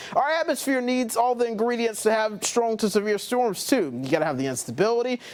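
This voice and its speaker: A man speaks at an extremely high pitch with lively intonation and hardly any pauses. Noticeable background noise runs underneath. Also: fairly quick pace. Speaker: television meteorologist. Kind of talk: weather explainer on air. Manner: friendly, conversational.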